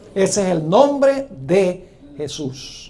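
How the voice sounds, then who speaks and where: In a room with audible echo, a man speaks with lively intonation. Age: 60s. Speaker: preacher. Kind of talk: sermon.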